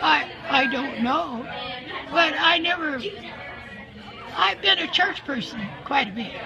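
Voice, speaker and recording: A high-pitched woman's voice with very wide pitch swings, long and frequent pauses, and noticeable background noise. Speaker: interviewee. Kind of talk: interview answer. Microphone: phone near.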